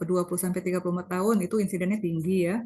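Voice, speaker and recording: A woman at medium pitch with fairly even intonation. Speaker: medical lecturer, doctor. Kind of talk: lecture. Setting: video call.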